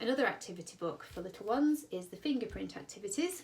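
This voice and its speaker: Lively intonation from a woman with a British accent. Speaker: children's book seller. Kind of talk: product demonstration. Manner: fast; enthusiastic.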